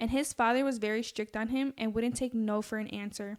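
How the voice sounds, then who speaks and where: Over a very clean, silent background, a woman speaks at a moderate pace and fairly high pitch in a monotone, flat intonation. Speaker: true crime podcast host. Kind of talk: casual true crime chat, narrating a case. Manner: stutters when nervous; casual, conversational.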